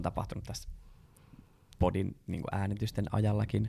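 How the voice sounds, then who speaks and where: A man's fairly low voice with vocal fry, at a moderate pace. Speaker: podcast co-host. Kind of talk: casual chat.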